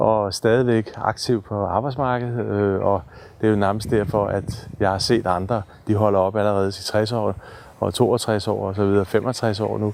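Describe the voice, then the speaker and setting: A man speaking at a fairly slow pace, fairly low in pitch, with fairly even intonation. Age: 60s. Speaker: therapy trek participant. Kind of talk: personal video diary. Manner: halting.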